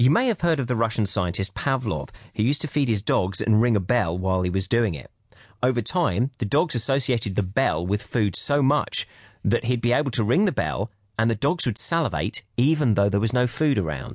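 A plain, everyday voice at a fairly quick pace, lively intonation and very even loudness, with a dry, close sound with no echo and a quiet background. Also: man, medium pitch for a man. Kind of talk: guided hypnosis audiobook.

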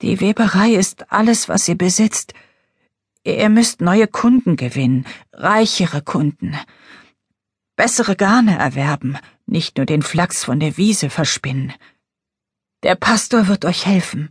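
A woman whispers in a put-on character voice, breathy and fairly slow, with long, frequent pauses and a dry, close sound with no echo. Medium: read story. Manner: urgent, pleading.

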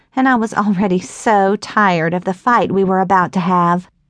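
A woman speaks in a normal speaking voice at a medium pitch. The background is quiet. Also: dry, close sound with no echo. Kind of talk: audiobook narration, first-person novel reading. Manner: warm, unhurried storytelling with wry, Southern-flavored humor; shifts to a cheery, coaxing tone for dialogue, then quiet and reflective.

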